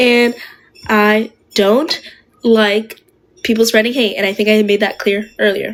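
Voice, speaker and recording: A woman's fairly high pitch, monotone and flat, at a fairly slow pace with very even loudness and long, frequent pauses. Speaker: livestreamer. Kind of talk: live stream chat.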